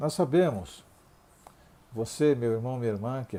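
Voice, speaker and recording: A man speaks in a dark, mellow tone. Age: 60s. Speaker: pastor. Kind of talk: sermon. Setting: online Bible class video.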